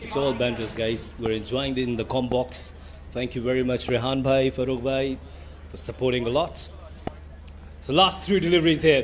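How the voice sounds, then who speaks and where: A man at medium pitch with ordinary pitch variation and long, frequent pauses, over noticeable background noise. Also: moderate pace. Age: young. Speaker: cricket commentator. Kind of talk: live commentary. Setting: commentary box.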